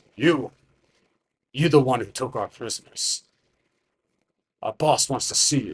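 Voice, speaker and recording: Putting on a character voice, a man speaks at a medium pitch and a moderate pace, with long, frequent pauses. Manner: dumb, not too smart.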